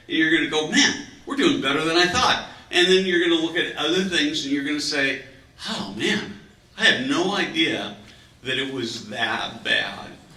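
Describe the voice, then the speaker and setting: The speech moves at a moderate pace with lively intonation. Audible room echo and noticeable background noise are present. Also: man, fairly high pitch for a man. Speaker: panel moderator. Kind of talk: panel discussion. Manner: loud.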